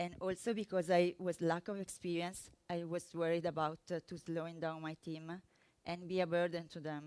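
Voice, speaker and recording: A woman speaks at a moderate pace in a fairly low pitch. Her intonation is flat and monotone. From Italy. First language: Italian. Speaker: software developer. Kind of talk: conference talk. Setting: stage with audience. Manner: halting, many fillers.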